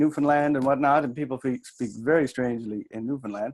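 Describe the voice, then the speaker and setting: Talking at a very fast pace, a man with a fairly high pitch shows ordinary pitch variation. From New Brunswick, Canada. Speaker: workshop leader, coach. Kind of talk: workshop talk. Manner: conversational, with hesitations.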